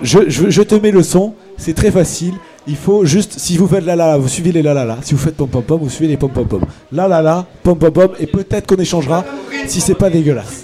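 Over noticeable background noise, a man talks fairly quickly in a fairly high voice with ordinary pitch variation. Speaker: radio host. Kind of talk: live radio show. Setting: live broadcast from a bar with audience. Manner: hesitant, many fillers.

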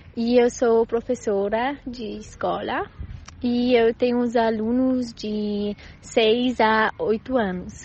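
A woman's fairly high voice, very slow and monotone with flat intonation. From Switzerland. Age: 20s. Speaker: primary school teacher. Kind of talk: recorded testimony. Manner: halting.

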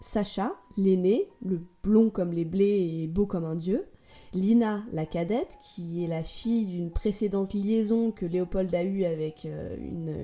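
There is music in the background as a woman speaks at a medium pitch in an animated tone. Her pitch variation is ordinary. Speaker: podcast host. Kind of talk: storytelling monologue. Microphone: sound problem for about half the episode.

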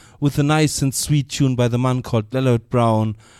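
In a German accent, a man talks at a fairly quick pace. His tone is dark and mellow, and his intonation fairly even. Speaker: reggae radio DJ. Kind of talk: live radio DJ announcements. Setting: live radio studio broadcast. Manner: relaxed, informal.

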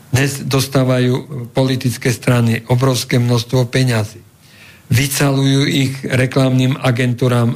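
A man talks at a very slow pace. His medium-pitched voice is somewhat breathy. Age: 70s. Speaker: former politician and law professor. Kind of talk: radio interview.

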